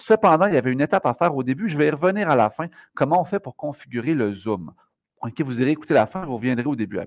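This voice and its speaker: A man speaks fairly quickly with a fairly high pitch and very wide pitch swings. The background is quiet. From Quebec. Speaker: math teacher; educator giving software tutorial. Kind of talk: tutorial. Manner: fast.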